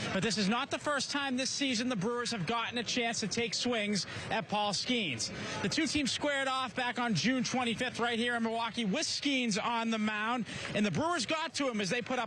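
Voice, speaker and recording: A man's raised, projected voice, extremely high in pitch, very even in loudness, with ordinary pitch variation and noticeable background noise. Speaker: local TV sports anchor and reporter. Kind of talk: baseball game preview, anchor toss.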